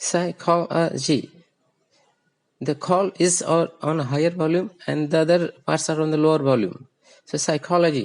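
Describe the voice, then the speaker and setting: Against a quiet background, a man talks at a moderate pace with a fairly high pitch. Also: fairly even intonation. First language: Hindi. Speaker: English accent teacher. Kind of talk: tutorial. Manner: halting, self-correcting.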